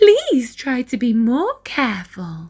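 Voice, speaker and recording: A woman's put-on character voice, high in pitch, with very wide pitch swings and a fairly slow pace. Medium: read story. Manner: gentle, patient.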